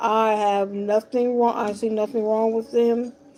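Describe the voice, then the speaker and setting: Over music in the background, a woman speaks at a very slow pace in a fairly high pitch, her intonation monotone and flat. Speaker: talk show host. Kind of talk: talk show monologue. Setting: live stream.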